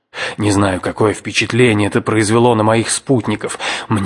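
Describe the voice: A plain read-aloud passage, its intonation fairly even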